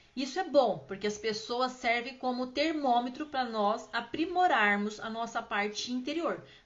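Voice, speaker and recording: The speech moves at a fairly slow pace with hardly any pauses and ordinary pitch variation. Background noise is noticeable. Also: woman, high pitch for a woman. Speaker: spiritual healing teacher. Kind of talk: live stream Q&A talk. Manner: chatty, informal.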